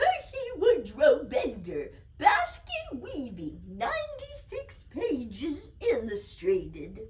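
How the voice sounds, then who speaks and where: Over loud background noise, a woman uses a put-on character voice, pitched extremely high and delivered at a very slow pace. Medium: read story.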